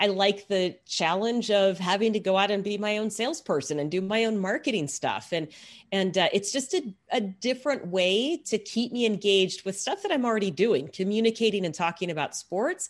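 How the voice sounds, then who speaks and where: A woman with a plain, everyday voice and an American accent speaks at medium pitch and a fairly quick pace. She leaves hardly any pauses against a quiet background. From Texas. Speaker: sports broadcaster and sideline reporter. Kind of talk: interview conversation.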